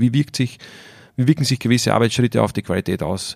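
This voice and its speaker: Heard in a dry, close sound with no echo, the speaker has an Austrian accent, vocal fry and fairly even intonation. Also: man. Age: 30s. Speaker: winemaker. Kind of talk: casual interview. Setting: at the winery.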